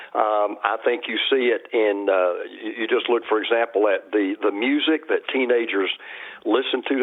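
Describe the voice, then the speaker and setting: A man with a Southern accent at a moderate pace. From US South, Georgia. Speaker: pastor and TV host. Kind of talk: interview. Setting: phone call. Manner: hesitant, many fillers.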